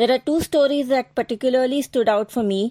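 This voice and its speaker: A dark, mellow tone in an Indian accent, with ordinary pitch variation, in a very clean recording with a silent background and a dry, close sound free of echo. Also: woman. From India, Mumbai. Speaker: book blogger. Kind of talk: prepared book recommendation.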